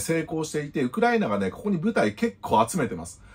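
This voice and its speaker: Moving at a fairly quick pace, a man speaks with very wide pitch swings. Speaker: YouTube news commentator. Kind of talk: solo commentary. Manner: polite, formal sign-offs. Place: home room.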